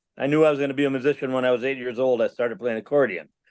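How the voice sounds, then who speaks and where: A man with a Minnesota accent speaks at a medium pitch. His intonation is fairly even, against a quiet background. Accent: Upper Midwest (Minnesota). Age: 60s. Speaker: musician and Bigfoot witness. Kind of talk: interview storytelling.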